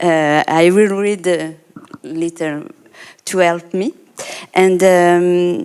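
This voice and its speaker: Very slow speech from a woman with a fairly low pitch and a non-native accent, broken by long, frequent pauses. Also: ordinary pitch variation. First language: not English. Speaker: artist and art therapist. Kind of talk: panel discussion. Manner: halting.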